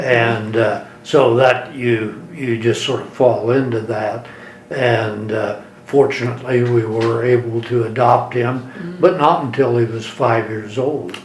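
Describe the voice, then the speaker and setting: A man's medium-pitched voice at a very slow pace, fairly even in intonation, with noticeable background noise. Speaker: attorney. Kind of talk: interview answer.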